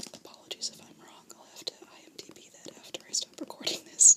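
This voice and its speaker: Someone whispers in a calm tone at a moderate pace, with noticeable background noise. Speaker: ASMR creator. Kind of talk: ASMR whispered ramble about theatre. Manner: whispered, soft-spoken, calm.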